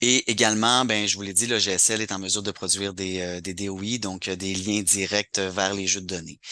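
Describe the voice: This man speaks at a fairly quick pace in a low pitch with little pitch movement and a bright, sharp tone.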